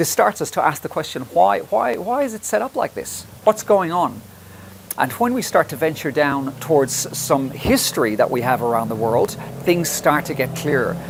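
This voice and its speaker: Someone with an Irish accent speaks at a moderate pace with very wide pitch swings, amid noticeable background noise. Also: man, fairly high pitch for a man. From Ireland. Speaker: health presenter. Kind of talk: presentation. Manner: halting.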